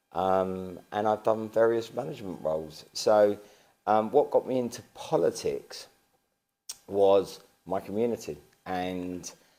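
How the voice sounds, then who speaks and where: Speaking with an Estuary accent, a man with a fairly low pitch and a dark, mellow tone talks at a fairly slow pace with ordinary pitch variation and long, frequent pauses. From east London, Barking and Dagenham. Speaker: local council leader. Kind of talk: interview. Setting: town hall.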